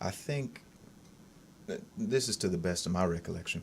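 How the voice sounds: Speaking at a moderate pace, a man with low pitch shows ordinary pitch variation.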